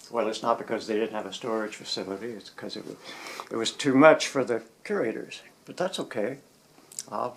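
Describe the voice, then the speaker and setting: A medium-pitched man with an American accent at a fairly quick pace, with long, frequent pauses, ordinary pitch variation and big swings in loudness, amid noticeable background noise. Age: 70s. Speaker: photographer and collage artist. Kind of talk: casual home tour talk. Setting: indoors at home studio.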